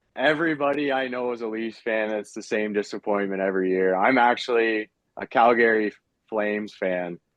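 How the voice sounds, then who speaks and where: This man has an unremarkable speaking voice, fairly low in pitch, with a Canadian accent. His pitch varies in an ordinary way and his pace is moderate. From Ontario, Canada. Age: 30s. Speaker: lure maker and carpenter. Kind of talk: podcast interview.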